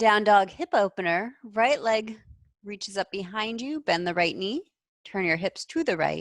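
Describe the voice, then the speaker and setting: A woman with a plain, everyday voice, lively intonation and a moderate pace, in a dry, close sound with no echo. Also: medium pitch for a woman. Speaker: yoga teacher. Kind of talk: guided yoga class instruction. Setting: video call class.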